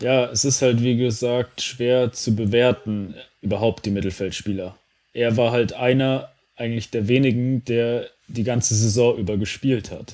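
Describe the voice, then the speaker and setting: An ordinary speaking voice from a man, medium in pitch, with fairly even intonation and a fairly slow pace. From North Rhine-Westphalia, Germany. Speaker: football podcast co-host. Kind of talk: casual chat.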